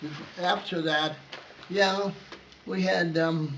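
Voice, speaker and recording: A man at a very slow pace with ordinary pitch variation, amid noticeable background noise and audible room echo. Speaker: war veteran. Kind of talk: oral history interview. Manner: halting.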